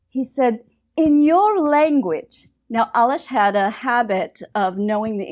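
A woman's fairly high, lively voice at a very slow pace against a quiet background. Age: 50s. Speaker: author and health writer. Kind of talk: interview.

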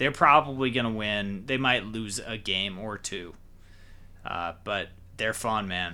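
A man with an ordinary speaking voice talks at a fairly slow pace and fairly low pitch, with ordinary pitch variation. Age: 20s. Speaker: sports podcast host. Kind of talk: casual chat.

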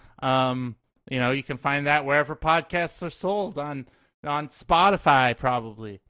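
In a very clean recording with a silent background, a man with an ordinary speaking voice speaks at a moderate pace, fairly high in pitch, with ordinary pitch variation. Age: 30s. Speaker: podcast guest. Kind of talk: casual chat.

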